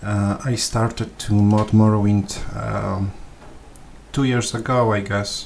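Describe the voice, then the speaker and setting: Over noticeable background noise, a man with a Polish accent speaks very slowly, in a monotone, flat way, at a fairly low pitch. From Poland. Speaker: gaming video creator. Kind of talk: tutorial. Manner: halting, many fillers and repetitions.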